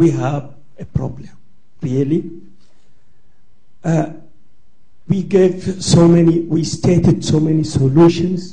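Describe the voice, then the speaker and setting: A man with a non-native accent speaks at a fairly slow pace in a high pitch. His tone is dark and mellow, and his intonation fairly even. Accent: foreign. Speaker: audience member at symposium. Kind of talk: audience comment in open discussion.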